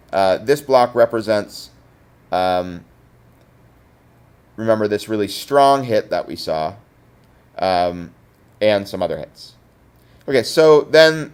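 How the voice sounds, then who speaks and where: A man talking at a fairly slow pace, with ordinary pitch variation. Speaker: teacher. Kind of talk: tutorial. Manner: hesitant, many fillers.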